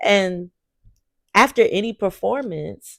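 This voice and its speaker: A woman talks in an animated tone in a very clean recording with a silent background. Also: dry, close sound with no echo. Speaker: podcaster, singer and preacher. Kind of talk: casual monologue. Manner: loud.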